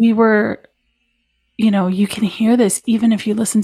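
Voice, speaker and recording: A woman's somewhat breathy voice with fairly even intonation on a very clean recording with a silent background. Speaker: musician and artist. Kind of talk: casual conversation.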